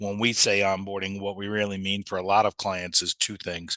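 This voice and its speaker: A man with a New York accent has a very deep, low pitch. The background is quiet and the sound dry and close with no echo. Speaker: software company sales leader. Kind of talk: webinar presentation. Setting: live webinar. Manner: fast; animated.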